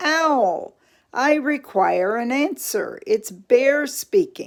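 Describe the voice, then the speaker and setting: This put-on character voice is loud and high-pitched, with very wide pitch swings. It moves at a very slow pace. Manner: calling out, demanding.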